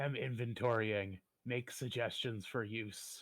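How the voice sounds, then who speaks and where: Putting on a character voice, a man speaks in a raspy, medium-pitched tone at a fairly slow pace with monotone, flat intonation. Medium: actual play. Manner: clipped broken speech.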